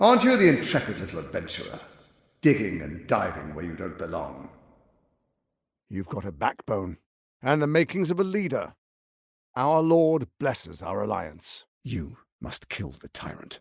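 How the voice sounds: Putting on a character voice, a man talks at a fairly slow pace and fairly low pitch, with a husky, rough edge, vocal fry and very wide pitch swings.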